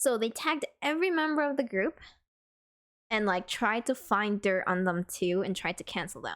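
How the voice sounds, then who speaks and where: A woman talks at a fairly quick pace with lively intonation and an American accent. The recording is very clean, with a silent background. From New York. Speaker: streamer. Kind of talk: casual chat. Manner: animated.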